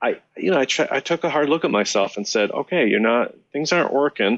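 With an American accent and an unremarkable speaking voice, this speaker uses lively intonation at a moderate pace against a quiet background. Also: man. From Chicago. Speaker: musician. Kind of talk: casual interview.

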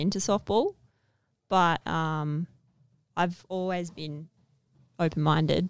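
At a very slow pace, a woman speaks in a fairly low voice with an Australian accent. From Western Australia, Perth. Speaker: Olympic softball player. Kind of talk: casual interview chat.

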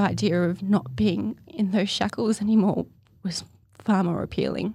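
A woman's dark, mellow voice with vocal fry and an Australian accent. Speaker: poet and artist. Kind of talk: interview, personal testimony. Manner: hesitant, many fillers.

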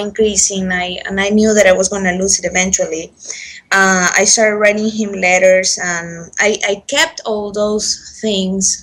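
The woman talks in a plain, everyday voice, keeping a medium pitch, a moderate pace and fairly even intonation. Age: 20s. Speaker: English teacher sharing pregnancy loss story. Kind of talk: personal testimony. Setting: Skype call.

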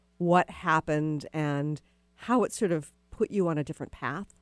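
A woman's normal speaking voice, fairly low in pitch, with lively intonation at a moderate pace, in a dry, close sound with no echo. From Texas. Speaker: radio host. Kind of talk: radio interview. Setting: radio studio.

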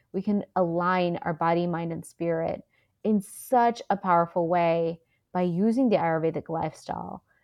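An ordinary speaking voice from a woman with an American accent, fairly low in pitch, at a moderate pace with fairly even intonation. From Houston, Texas, with Indian family. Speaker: Ayurvedic practitioner. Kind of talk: interview.

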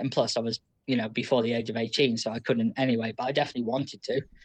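Using fairly even intonation, a man talks at a very fast pace. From United Kingdom, small town. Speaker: anonymous caller sharing life story. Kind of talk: personal testimony in casual chat.

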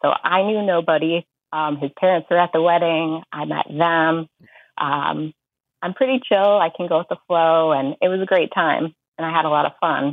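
Speaking in a normal speaking voice, a woman uses fairly low pitch, fairly even intonation and a moderate pace. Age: 20s. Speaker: caller seeking dating advice. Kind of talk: casual chat. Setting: phone call.

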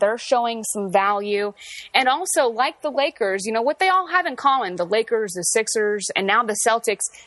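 Her intonation lively, a woman speaks with a fairly high pitch in a plain, everyday voice. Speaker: Lakers beat reporter. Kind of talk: casual sports discussion.

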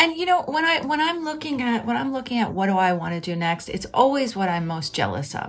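Over noticeable background noise, a woman with an American accent speaks at a fairly quick pace with hardly any pauses, her fairly high pitch making very wide swings. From Philadelphia, US. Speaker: writer and editor, podcast host. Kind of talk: casual interview chat.

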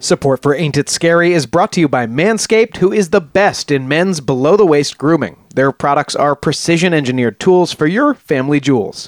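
In an unremarkable speaking voice, a man with a fairly high pitch talks at a fairly quick pace with lively intonation and very even loudness, in a dry, close sound with no echo. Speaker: podcast co-host. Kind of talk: casual chat.

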